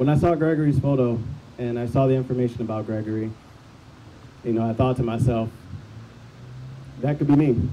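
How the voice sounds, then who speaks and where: A fairly quick pace with long, frequent pauses, in an American accent. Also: man, medium pitch for a man. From Bloomington, Illinois. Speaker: activist. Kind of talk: testimony. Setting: outdoor rally. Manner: upbeat; unscripted.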